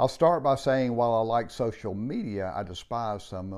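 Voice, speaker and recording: A man's medium-pitched, normal speaking voice, fairly slow, with lively intonation against a quiet background. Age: 60s. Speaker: podcast host. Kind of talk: casual monologue.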